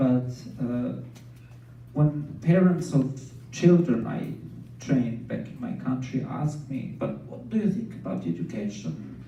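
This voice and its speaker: A man with a Serbian accent at a fairly slow pace, big swings in loudness, noticeable background noise and audible room echo. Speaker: scientist and dancer, speaker. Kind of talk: inspirational talk.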